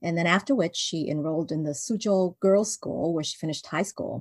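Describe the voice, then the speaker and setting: A woman speaks in an unremarkable speaking voice. Her intonation is lively. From Vancouver, Canada. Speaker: children's book author. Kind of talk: interview. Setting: video call.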